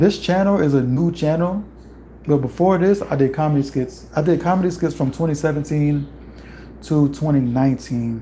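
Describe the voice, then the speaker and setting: At a moderate pace and very even loudness, a man with a fairly high pitch and ordinary pitch variation sounds somewhat breathy, in a dark, mellow tone. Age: 20s. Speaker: youtuber, musician. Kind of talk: livestream chat. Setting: home livestream. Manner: casual, conversational.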